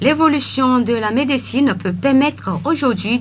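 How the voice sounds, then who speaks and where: Noticeable background noise sits behind this recording. A woman speaks at a fairly slow pace with a fairly high pitch. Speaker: radio news presenter. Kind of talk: radio news bulletin presentation.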